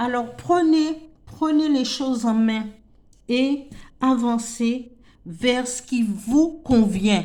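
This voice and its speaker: A dark, mellow tone moves at a very slow pace with ordinary pitch variation, and room echo is audible. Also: woman. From French Antilles. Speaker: tarot card reader. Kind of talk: spiritual tarot reading. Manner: halting, many repetitions and fillers.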